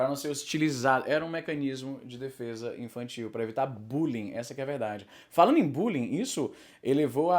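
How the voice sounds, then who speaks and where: In a very clean recording with a silent background, a man with an ordinary speaking voice talks at a fairly high pitch with ordinary pitch variation. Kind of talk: casual talk to camera. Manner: fast, rambling.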